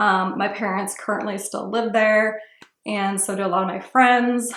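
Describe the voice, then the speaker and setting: A woman's flat, monotone delivery with audible room echo. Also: medium pitch for a woman, moderate pace. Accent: American. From Ohio, US Midwest. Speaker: beauty vlogger. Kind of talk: casual chat. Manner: casual, filler-heavy.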